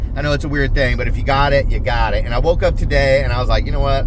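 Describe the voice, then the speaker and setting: The man sounds animated, with noticeable background noise and audible room echo around him. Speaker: mushroom foraging educator and video host. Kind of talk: casual vlog narration. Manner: fast.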